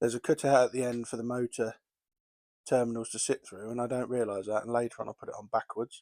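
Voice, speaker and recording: In an English accent, the words come at a very fast pace with monotone, flat intonation and a dry, close sound with no echo. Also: man, medium pitch for a man. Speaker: model railway hobbyist. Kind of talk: tutorial. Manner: casual, with fillers.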